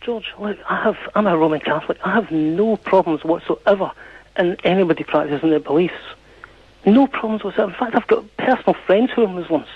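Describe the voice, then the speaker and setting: Speaking with a Scottish accent, a man has a high pitch and ordinary pitch variation. His pace is fairly quick, with noticeable background noise behind him. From Scotland. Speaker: caller. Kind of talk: radio phone-in debate. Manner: halting, with many false starts.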